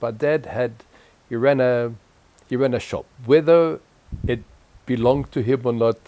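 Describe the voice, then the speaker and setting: In a French accent, a man speaks fairly slowly at a medium pitch, his tone dark and mellow and his pitch variation ordinary. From Egypt (Cairo), then Zimbabwe from age 11. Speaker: interviewee recounting life story. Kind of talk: oral history interview. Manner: halting, many repetitions.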